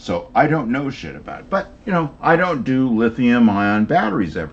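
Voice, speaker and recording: A man at medium pitch with very wide pitch swings and big swings in loudness. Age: 70s. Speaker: rc hobbyist with engineering degree. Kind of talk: casual chat.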